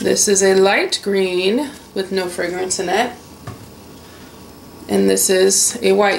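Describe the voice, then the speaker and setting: A woman's voice carries audible room echo and noticeable background noise. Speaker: soap maker. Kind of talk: tutorial. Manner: casual.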